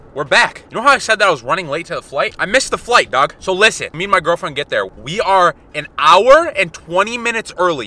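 A man speaks in a raised, projected voice with a bright, sharp tone, swinging very widely in pitch at a fairly quick pace, with a dry sound and no echo. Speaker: fitness vlogger. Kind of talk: casual vlog chat. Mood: annoyed but joking. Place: car. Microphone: phone near.

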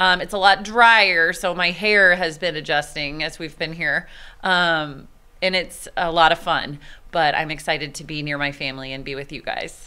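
The voice has an American accent and a bright, sharp tone. It moves at a moderate pace with ordinary pitch variation and big swings in loudness. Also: woman, fairly low pitch for a woman. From Texas. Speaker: teacher. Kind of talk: interview. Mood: warm, upbeat. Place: classroom. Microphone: handheld.

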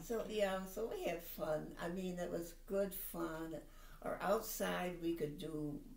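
Audible room echo surrounds speech delivered at a very slow pace. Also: woman, fairly low pitch for a woman, ordinary pitch variation. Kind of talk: interview answer. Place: home room.

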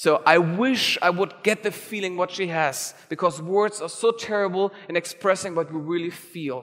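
With hardly any pauses, a man speaks at a high pitch. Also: ordinary pitch variation, quiet background. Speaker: conference organizer and keynote speaker. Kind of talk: keynote talk. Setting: stage with audience. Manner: fast talker. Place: hall. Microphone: headset.

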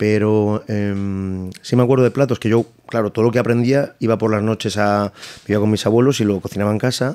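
A man speaks at a fairly quick pace in a dark, mellow tone. His loudness is very even and his intonation fairly even. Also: fairly low pitch for a man. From Madrid. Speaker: chef and restaurant owner; guest. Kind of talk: casual interview. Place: studio. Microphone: studio mic.

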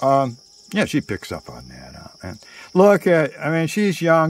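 A man at a fairly slow pace, the sound dry with no echo. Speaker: storyteller. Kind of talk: casual storytelling monologue. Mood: playful, theatrical storytelling. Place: garden. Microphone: phone near.

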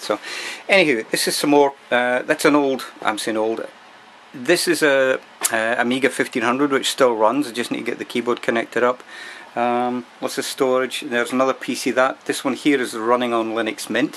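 At a moderate pace, a man speaks with fairly even intonation. Light background noise can be heard. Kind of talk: casual vlog chat. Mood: relaxed, chatty. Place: workshop. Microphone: phone near.

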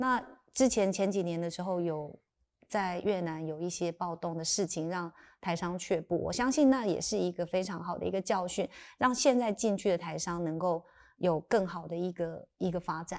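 At a moderate pace, a woman talks in a fairly low voice. Her pitch varies in an ordinary way. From Taiwan, Sanxia (New Taipei); Taiwan. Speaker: lawyer turned tech company chairwoman. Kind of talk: interview conversation. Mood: calm, thoughtful. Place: studio. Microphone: lapel.

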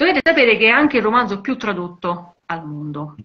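Her pitch swings very widely while the woman keeps to a moderate pace. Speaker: journalist; journalist co-host. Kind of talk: live video conversation about women in cinema and literature. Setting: video call live stream. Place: home room. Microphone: video call.

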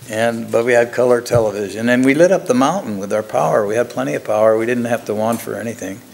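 The pace is very fast. There are hardly any pauses. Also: man, ordinary pitch variation. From northern California. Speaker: inventor; guest. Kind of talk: presentation; interview answer. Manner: halting. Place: stage.

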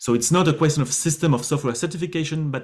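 A man speaks at a fairly quick pace in a somewhat breathy voice with ordinary pitch variation, against a quiet background. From France. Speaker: government official. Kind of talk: panel discussion.

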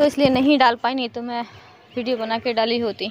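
Over light background noise, a woman speaks at a high pitch in a monotone, flat intonation, the sound dry with no echo. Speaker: home vlogger. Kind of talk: casual vlog chat. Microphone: phone near.

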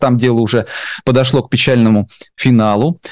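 Dark and mellow in tone, a man speaks at a moderate pace, with a dry sound, no echo, and a quiet background. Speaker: interviewer, channel host. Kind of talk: interview. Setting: studio. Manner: hesitant, many filler sounds. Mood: calm, serious. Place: home room. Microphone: video call.

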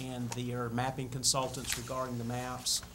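A man talks with a Southern US accent. Loud background noise runs behind him. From US South. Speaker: city planner; presenter. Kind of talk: report to city board. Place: meeting room. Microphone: podium.

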